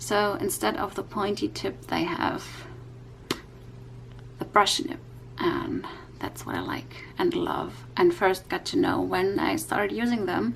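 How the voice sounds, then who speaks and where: A woman speaks with a non-native accent at a fairly slow pace. She takes long, frequent pauses. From Europe. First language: not English. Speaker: YouTube coloring creator. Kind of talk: tutorial. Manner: halting, many fillers.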